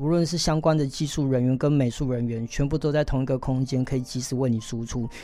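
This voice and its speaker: Against noticeable background noise, a man with a fairly high pitch and ordinary pitch variation talks at a fairly quick pace. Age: 40s. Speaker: tech company chairman and former actor. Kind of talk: interview.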